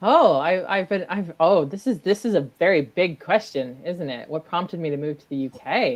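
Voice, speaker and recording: A woman with a strong Midwestern US accent, fairly low pitch, lively intonation, moderate pace, hardly any pauses and big swings in loudness. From US Midwest, Michigan. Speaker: maker and multimedia creator. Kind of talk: casual chat.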